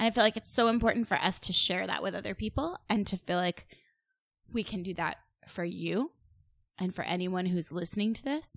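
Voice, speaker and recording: A woman talks at a fairly quick pace in a plain, everyday voice of medium pitch with ordinary pitch variation. The sound is dry and close, with no echo. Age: middle-aged. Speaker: podcast co-host and blogger. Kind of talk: casual chat.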